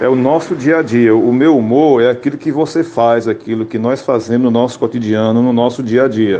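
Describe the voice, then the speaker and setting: A man at a medium pitch, moderate pace and ordinary pitch variation, with noticeable background noise. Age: 60s. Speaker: radio comedian. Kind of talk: interview.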